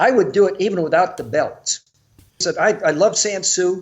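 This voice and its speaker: A man speaks at a moderate pace in a high pitch. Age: 70s. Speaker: martial arts teacher. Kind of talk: casual chat.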